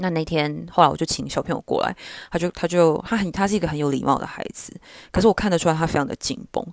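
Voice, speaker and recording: A woman's fairly low voice with vocal fry and ordinary pitch variation at a very fast pace. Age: 20s. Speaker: podcast host. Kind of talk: casual solo monologue. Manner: relaxed, informal.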